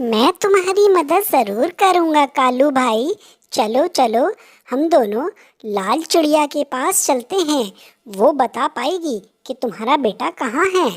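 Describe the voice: A cartoonish character voice sits at a high pitch. The pace is fairly slow.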